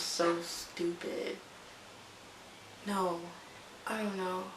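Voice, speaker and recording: This is a woman speaking. Noticeable background noise sits behind her. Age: 20s. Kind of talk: casual talk to camera. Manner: chatty, rambling.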